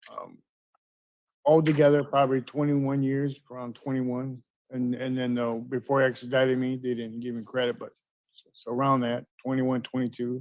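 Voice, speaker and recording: In a monotone, flat intonation, a man speaks at a fairly quick pace and medium pitch. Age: 60s. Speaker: inmate seeking parole. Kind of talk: hearing testimony. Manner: halting.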